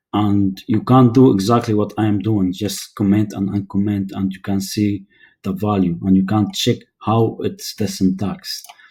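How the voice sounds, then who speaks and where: At a fairly low pitch, a man talks with monotone, flat intonation and a somewhat breathy sound. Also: moderate pace. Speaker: programming tutor. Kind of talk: tutorial. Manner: hesitant, many fillers.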